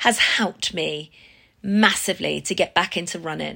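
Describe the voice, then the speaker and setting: A woman talks at a fairly slow pace with an English accent. Her tone is bright and sharp. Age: 50s. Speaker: fitness business owner. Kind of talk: personal testimony.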